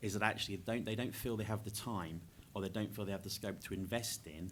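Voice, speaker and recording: A man talks very fast with fairly even intonation. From England, Norfolk. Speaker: education charity worker. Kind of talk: panel discussion.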